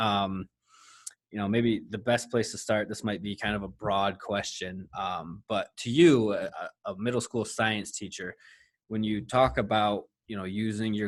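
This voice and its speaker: On a very clean recording with a silent background, a man with a Michigan accent speaks at a moderate pace with fairly even intonation. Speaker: podcast host. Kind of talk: podcast interview.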